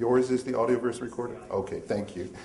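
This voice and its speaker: In a room with audible echo, a man speaks at a moderate pace with monotone, flat intonation. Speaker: magazine editor leading a seminar. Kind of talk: seminar talk with audience. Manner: loud.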